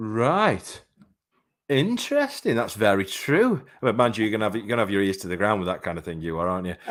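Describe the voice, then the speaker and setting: A man with a fairly low voice speaks at a fairly quick pace with an English accent. His pitch varies in an ordinary way, in a very clean recording with a silent background. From England. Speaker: boxing podcast host. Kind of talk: live podcast interview.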